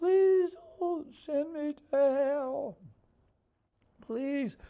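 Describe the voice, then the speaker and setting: This is a put-on character voice. It sits high in pitch. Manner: pleading.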